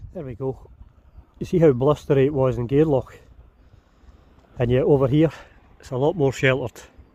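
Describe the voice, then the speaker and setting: A dark, mellow voice moves at a fairly quick pace with fairly even intonation, big swings in loudness, and long, frequent pauses. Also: man, fairly high pitch for a man. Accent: strong Scottish. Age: 40s. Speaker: sailing vlogger. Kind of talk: vlog narration. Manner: filled pauses.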